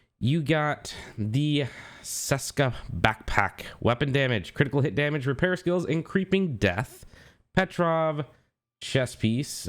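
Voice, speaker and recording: At a fairly slow pace, a man talks at a fairly high pitch. The recording is very clean, with a silent background. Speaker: gaming YouTuber. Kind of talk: game commentary. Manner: casual.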